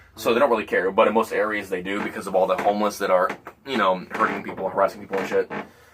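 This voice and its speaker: A man with a fairly low voice rattles along at a very fast pace, his intonation fairly even, while noticeable background noise carries on behind him. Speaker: podcast guest. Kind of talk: casual chat.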